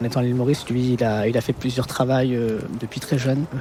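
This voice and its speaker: A man at a medium pitch with monotone, flat intonation, talking at a fairly quick pace amid noticeable background noise. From Paris, France. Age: 30s. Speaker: podcast interviewee. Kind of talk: personal life story interview. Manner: hesitant, many filler sounds.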